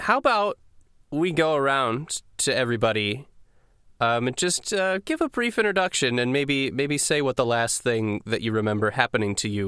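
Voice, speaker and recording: A man with an unremarkable speaking voice, lively intonation and a moderate pace, in a dry, close sound with no echo on a very clean recording with a silent background. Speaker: dungeon master and podcast host. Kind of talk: tabletop roleplaying game session, casual chat. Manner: casual, conversational, joking.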